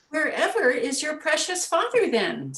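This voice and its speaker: A woman uses a put-on, squeaky character voice, pitched high and delivered at a moderate pace. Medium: read story.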